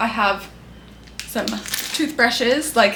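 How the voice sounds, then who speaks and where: An animated woman's voice with lively intonation, audible room echo and noticeable background noise. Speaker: beauty and lifestyle YouTuber. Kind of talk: casual chat. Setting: bedroom.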